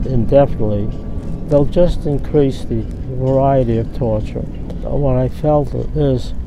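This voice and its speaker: There is noticeable background noise as a man speaks with an American accent at a very slow pace. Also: dry sound with no echo. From United States. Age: 80s+. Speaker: war veteran. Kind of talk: interview answer. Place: waterside.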